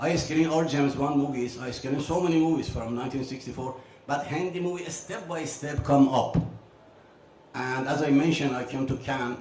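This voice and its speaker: A man with a non-native accent talks at a fairly quick pace in a fairly high voice. His intonation stays fairly even, with audible room echo and noticeable background noise. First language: not English. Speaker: film distributor and exhibitor. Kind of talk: panel discussion. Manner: halting.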